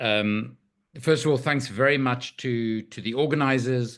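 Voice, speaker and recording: A man with an ordinary speaking voice talks at a fairly slow pace, his medium pitch held to fairly even intonation. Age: 60s. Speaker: arms trade researcher and author. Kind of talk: panel discussion.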